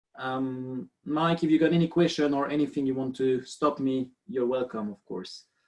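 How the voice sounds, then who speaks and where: Speaking with a French accent, a man at medium pitch talks at a moderate pace with ordinary pitch variation and hardly any pauses. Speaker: biomechanist. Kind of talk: webinar lecture. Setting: video call.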